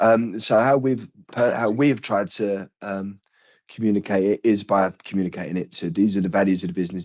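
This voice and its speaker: Speaking at a moderate pace, a man with a British accent has a fairly low pitch. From United Kingdom. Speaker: recruitment company leader. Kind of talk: podcast interview. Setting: remote video call. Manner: halting, many fillers.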